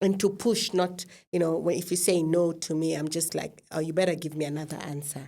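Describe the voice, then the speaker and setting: A woman with a Kenyan accent speaks at a moderate pace. Her pitch is fairly low and her intonation fairly even. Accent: noticeable non-American (Kenyan). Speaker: podcast host. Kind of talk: casual interview chat.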